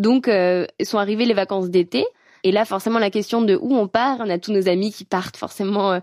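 A woman at a moderate pace, medium pitch and ordinary pitch variation, in a very clean recording with a silent background. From France, Savoie mountains. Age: 20s. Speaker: climate activist. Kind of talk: personal testimony. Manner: hesitant, many fillers.

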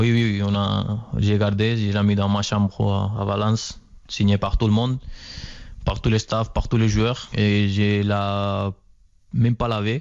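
Against a quiet background, a man with a fairly low pitch speaks at a very slow pace with long, frequent pauses, a monotone, flat intonation and very even loudness. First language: Spanish (speaking French). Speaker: professional footballer. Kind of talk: interview.

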